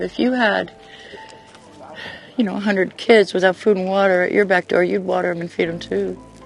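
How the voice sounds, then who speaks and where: Music plays behind a woman who talks at a fairly quick pace but leaves long, frequent pauses. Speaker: volunteer helping migrants, interviewed for news story. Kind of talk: interview answer.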